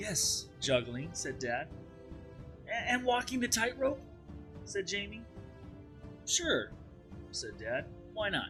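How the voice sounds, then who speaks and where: Over music in the background, a man talks at a very slow pace. He leaves long, frequent pauses. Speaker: teacher. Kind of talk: dramatized children's read aloud.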